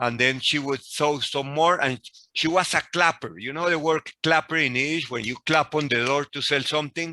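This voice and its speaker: A man's bright, sharp, fairly high voice with a Spanish accent, at a moderate pace with ordinary pitch variation, in dry, close sound with no echo. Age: 60s. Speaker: professor. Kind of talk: lecture.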